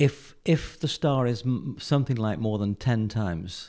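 A man's dark, mellow voice in an English accent, with lively intonation at a fairly slow pace, on a very clean recording with a silent background. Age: 70s. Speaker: retired physicist. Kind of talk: interview. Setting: studio. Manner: halting.

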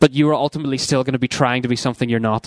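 In a Northern Irish accent, a man talks at a medium pitch with fairly even intonation and a dry, close sound with no echo. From Northern Ireland. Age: 20s. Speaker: youth ministry worker. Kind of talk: seminar talk.

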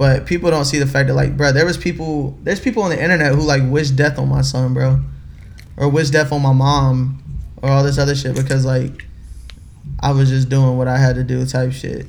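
Amid audible room echo, a man with a medium-pitched, somewhat breathy voice speaks fairly quickly in a monotone, flat way. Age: 20s. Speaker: music label executive. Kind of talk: casual interview chat.

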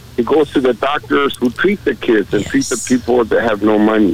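A man is speaking amid noticeable background noise. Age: 60s. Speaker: state legislator. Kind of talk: call-in comment.

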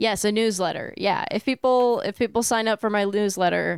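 A woman talks in a normal speaking voice at a medium pitch with fairly even intonation. The sound is dry and close, with no echo. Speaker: streaming platform staffer. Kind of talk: casual chat. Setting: remote call.

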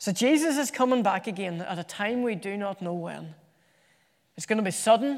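A high-pitched man with an Irish accent, fairly quick in pace, with ordinary pitch variation. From Ireland. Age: 30s. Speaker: preacher. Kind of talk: sermon. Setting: church.

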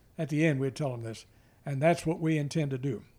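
With an American accent, a man talks at a fairly high pitch in a dark, mellow tone with ordinary pitch variation. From US Midwest. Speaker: grandfather and former soldier. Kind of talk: family interview. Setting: at home.

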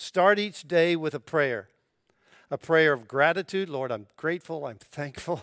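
With a plain, everyday voice, a man speaks at a fairly slow pace in a fairly high pitch with ordinary pitch variation, the sound dry and close with no echo on a very clean recording with a silent background. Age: 60s. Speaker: pastor. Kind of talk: sermon.

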